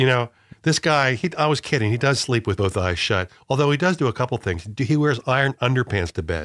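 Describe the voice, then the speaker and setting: A man's medium-pitched voice with an American accent, vocal fry and lively intonation, at a fairly quick pace with very even loudness, in a dry, close sound with no echo. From northern US. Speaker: radio show co-host. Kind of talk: casual comedic banter.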